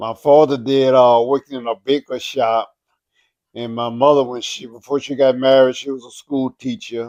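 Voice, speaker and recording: In an American accent, a man speaks at a moderate pace and medium pitch in a flat monotone, his loudness swinging widely in a dry, close sound with no echo. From Louisiana, New Orleans then Shrewsbury. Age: 80s+. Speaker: interviewee, grandfather. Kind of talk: interview answers. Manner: hesitant with fillers.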